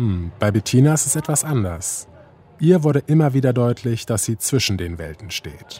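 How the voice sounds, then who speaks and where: At a moderate pace, a man with a dark, mellow tone and a somewhat breathy voice swings very widely around a medium pitch. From Germany, Kassel (northern Hesse). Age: 30s. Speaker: radio documentary author. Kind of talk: scripted narration.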